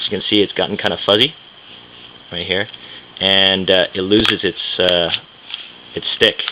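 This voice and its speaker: A man mumbles at a moderate pace in a very deep, low pitch with monotone, flat intonation. Long, frequent pauses break up his speech, and background noise is noticeable. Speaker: budget backpacking traveler reviewing gear. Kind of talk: casual talk to camera, gear demonstration. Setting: filmed at home late at night. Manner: mumbling.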